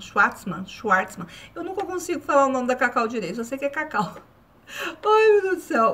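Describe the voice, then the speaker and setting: With a bright, sharp tone, a woman speaks at a moderate pace, her pitch swinging very widely. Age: 40s. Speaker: YouTuber; vlogger. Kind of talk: casual vlog review. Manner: halting. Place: home room. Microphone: phone near.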